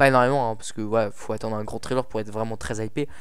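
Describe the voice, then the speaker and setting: Fairly even intonation from a man, with the room's echo clearly audible. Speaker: film critic YouTuber. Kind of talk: film review monologue. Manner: fast; halting.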